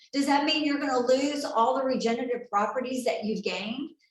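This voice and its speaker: A woman's voice sits at a high pitch. Audible room echo follows her words. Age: 60s. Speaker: health and wellness seminar presenter. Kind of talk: sales presentation. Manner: animated.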